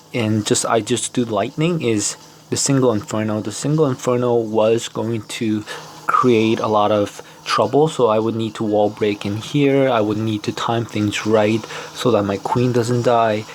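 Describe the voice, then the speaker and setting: Through noticeable background noise, a man speaks at a medium pitch and moderate pace with fairly even intonation. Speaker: mobile strategy game content creator. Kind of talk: gameplay commentary. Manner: casual, hesitant with fillers.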